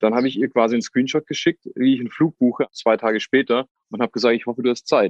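A man's very fast, medium-pitched voice with fairly even intonation, in a dry, close sound with no echo. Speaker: reality TV contestant. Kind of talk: casual interview. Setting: outdoors.

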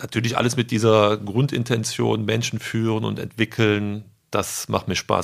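This man's voice sits at a fairly low pitch. His intonation is monotone and flat. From Germany, Rhineland (Eschweiler). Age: 30s. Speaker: retail sales manager. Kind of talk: interview. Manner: hesitant, many fillers.

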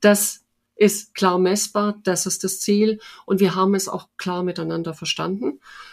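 A woman talks with fairly even intonation in a slight Swabian accent. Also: very clean recording, silent background. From Oberschwaben, southern Germany. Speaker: head of recruiting at a large company. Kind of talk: interview. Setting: home office. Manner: many fillers, hesitant.

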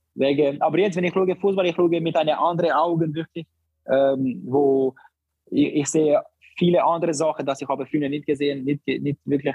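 Fairly even intonation accompanies a delivery held at a moderate pace. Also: man. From Barcelona, Spain. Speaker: professional footballer. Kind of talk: casual interview. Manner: halting.

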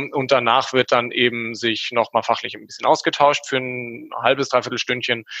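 Talking at a moderate pace with hardly any pauses, a man has a medium pitch, a bright, sharp tone and monotone, flat intonation. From grew up abroad in many countries. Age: 20s. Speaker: infrastructure engineer. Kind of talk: casual chat.

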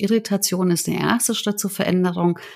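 This woman has a normal speaking voice at a medium pitch. She talks at a fairly quick pace in a very clean recording with a silent background. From Germany. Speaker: change management consultant. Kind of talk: interview.

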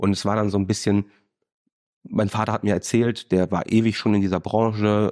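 Against a quiet background, a dark, mellow voice speaks at a fairly quick pace in a dry, close sound with no echo. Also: man. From Germany. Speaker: student, former business manager. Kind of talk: interview.

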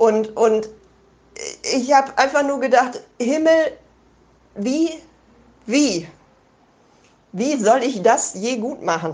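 Her high pitch carrying lively intonation, a woman speaks at a very slow pace with long, frequent pauses. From Germany. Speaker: listener sending voice message. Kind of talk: personal testimony. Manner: halting.

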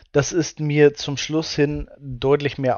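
A man speaks at a very slow pace. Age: 20s. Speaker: shop owner, former dropshipper. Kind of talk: interview. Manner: hesitant, many fillers.

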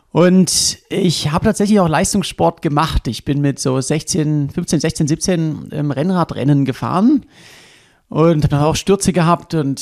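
A man has an ordinary speaking voice at a fairly high pitch, with ordinary pitch variation. The sound is dry and close with no echo, on a very clean recording with a silent background. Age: 30s. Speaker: extreme endurance athlete and adventurer. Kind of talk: casual interview. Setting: hotel room.

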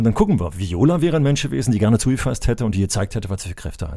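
The tone is dark and mellow in a very clean recording with a silent background. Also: man. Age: 60s. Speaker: retired school principal and former sports teacher. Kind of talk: casual chat.

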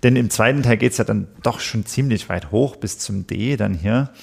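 A somewhat breathy man of medium pitch, lively intonation and a moderate pace. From Saxony, Elbe valley (Pirna). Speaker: church music officer and musician. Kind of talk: podcast discussion.

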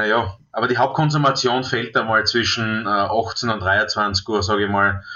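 With medium pitch and fairly even intonation, a man talks in an ordinary speaking voice. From Austria, southeastern Styria. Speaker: top chef and restaurateur. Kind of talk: interview.

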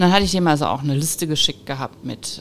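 A woman speaks with a very deep, low pitch. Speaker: business owner, managing director of a metalworking firm. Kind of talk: interview. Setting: at her company premises.

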